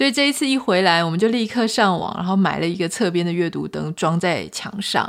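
A woman speaks fairly quickly with lively intonation while noticeable background noise fills the recording. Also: medium pitch for a woman. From Taiwan. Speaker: podcast host. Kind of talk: solo podcast monologue, travel story. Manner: casual, chatty.

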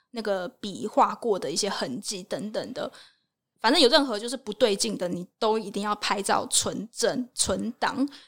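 A woman's fairly high-pitched, plain, everyday voice at a moderate pace. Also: ordinary pitch variation, very clean recording, silent background. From Taiwan. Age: 20s. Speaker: working holiday traveler and travel blogger. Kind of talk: casual interview chat.

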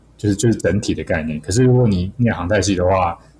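A man's voice with a dark, mellow tone. It comes across somewhat breathy. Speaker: aviation graduate and pilot, part-time instructor. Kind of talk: casual interview chat.

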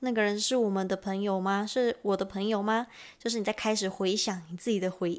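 A woman speaks at medium pitch and a moderate pace, in a Taiwanese accent. The recording is very clean, with a silent background. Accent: Taiwanese Mandarin. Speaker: podcast host and Japanese teacher. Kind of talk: language lesson.

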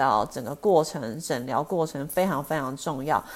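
A woman talks at a moderate pace. The recording is very clean, and the background is silent. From US West Coast, Los Angeles. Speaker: eye doctor. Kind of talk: interview. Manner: halting, many fillers.

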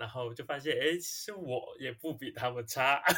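A fairly quick-paced man with a bright, sharp tone. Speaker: musical theatre actor and singer. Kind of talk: casual chat.

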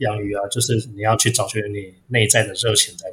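Speaking at a moderate pace, a man uses a medium pitch. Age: 40s. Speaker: guppy breeder. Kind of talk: interview. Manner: halting, frequent repeated words.

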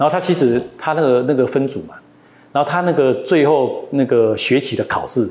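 In a normal speaking voice, a man talks at a moderate pace, his fairly high pitch showing ordinary pitch variation. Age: 50s. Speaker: company executive. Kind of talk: interview.

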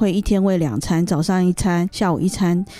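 Woman at a medium pitch, dark and mellow in tone, with moderate pace and ordinary pitch variation. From Taiwan. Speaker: interpreter. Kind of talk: consecutive interpretation.

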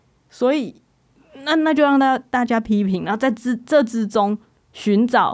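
Lively intonation from a woman at a moderate pace. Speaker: podcast host and screenwriter. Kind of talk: casual chat. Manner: animated.

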